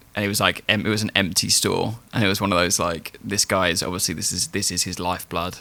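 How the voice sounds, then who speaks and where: Delivered very fast with hardly any pauses, the voice has a bright, sharp tone, a British accent and fairly even intonation. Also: man, very deep, low pitch for a man. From England. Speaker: podcast host. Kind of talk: casual podcast conversation.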